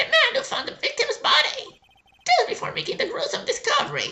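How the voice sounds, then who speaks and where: Putting on a squeaky character voice, a man talks at an extremely high pitch and a fairly quick pace. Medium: solo performance. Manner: condescending.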